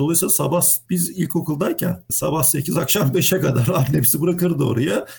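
A man with vocal fry, fairly high pitch, ordinary pitch variation, very even loudness and a fairly quick pace. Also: hardly any pauses. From Turkey, Izmir. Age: 40s. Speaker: mechanical engineer. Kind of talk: interview.

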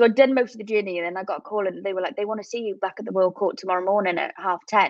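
A woman talks at a very fast pace with a medium pitch. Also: ordinary pitch variation.

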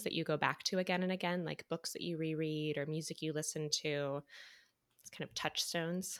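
A woman with an American accent uses a normal speaking voice, fairly low in pitch with ordinary pitch variation. She talks at a moderate pace in a very clean recording with a silent background. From US Midwest. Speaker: podcast host, actor. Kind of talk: interview.

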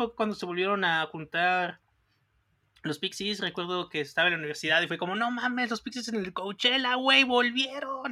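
On a very clean recording with a silent background, the delivery runs at a fairly quick pace. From Mexico. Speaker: music podcast co-host. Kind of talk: casual chat.

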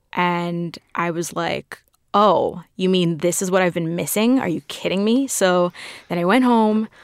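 In an American accent, a woman with a fairly low pitch speaks at a fairly slow pace with ordinary pitch variation and an ordinary speaking voice. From New York City (Queens). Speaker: film fan and guest TV host. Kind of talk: casual interview.

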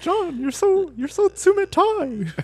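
An extremely high-pitched, squeaky put-on character voice. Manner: whiny, complaining.

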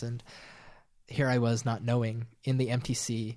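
A man's somewhat breathy, medium-pitched voice with an American accent, over a quiet background. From rural central Utah, Sevier County. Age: 20s. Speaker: former missionary. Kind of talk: personal testimony interview.

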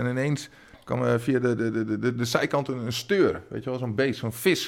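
On a very clean recording with a silent background, a man with a normal speaking voice talks at a medium pitch and a moderate pace with ordinary pitch variation. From Twente, eastern Netherlands. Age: 40s. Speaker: comedian. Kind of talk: casual chat.

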